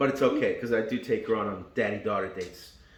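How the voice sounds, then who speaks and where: Speaking at a medium pitch, a man is heard with audible echo from the room. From Argentina, Buenos Aires. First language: Spanish. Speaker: car YouTuber. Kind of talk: casual vlog walkaround. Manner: casual, joking.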